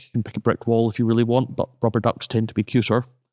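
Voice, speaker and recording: A man with a Scottish accent at a very fast pace, dark, mellow tone, quiet background and a dry, close sound with no echo. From Scotland. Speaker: university lecturer. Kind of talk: podcast conversation.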